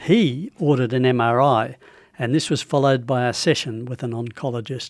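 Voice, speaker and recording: Australian-accented male voice, medium in pitch, fairly quick and fairly even in intonation. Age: 80s+. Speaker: prostate cancer patient. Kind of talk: radio interview.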